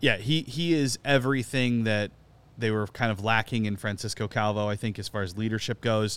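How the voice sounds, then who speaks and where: A man with a plain, everyday voice at a medium pitch, fairly quick pace, and ordinary pitch variation, on a very clean recording with a silent background. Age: 40s. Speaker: soccer podcast co-host. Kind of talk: casual chat.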